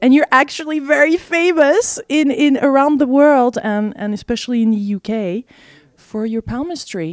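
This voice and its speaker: In a French accent, a woman speaks with a high pitch and lively intonation. Her moderate-paced delivery sounds dry and close, with no echo. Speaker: interviewer, video channel host. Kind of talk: interview.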